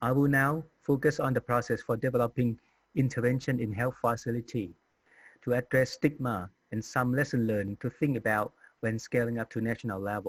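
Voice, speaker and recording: Fairly even intonation and a fairly quick pace mark this speaker with a Thai accent, recorded dry and close with no echo. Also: man, medium pitch for a man. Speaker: HIV community advocate. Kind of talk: conference presentation. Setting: recorded virtual conference talk. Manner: formal.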